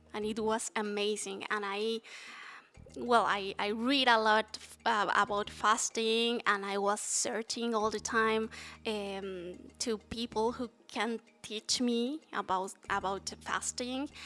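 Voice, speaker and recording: With music in the background, the speech moves at a very slow pace with fairly even intonation. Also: woman, fairly high pitch for a woman. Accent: Spanish. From Mexico City. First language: Spanish. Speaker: fasting advocate. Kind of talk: interview. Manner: halting.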